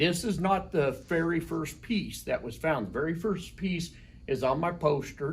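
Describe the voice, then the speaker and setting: A man speaks fairly slowly at a fairly high pitch, with vocal fry and ordinary pitch variation. Room echo is audible. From Colorado. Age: 60s. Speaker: rock shop owner. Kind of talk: casual interview.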